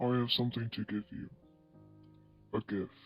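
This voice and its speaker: A man performs a put-on character voice at a moderate pace. Clear music plays in the background. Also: medium pitch for a man. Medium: read story. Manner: calm, measured.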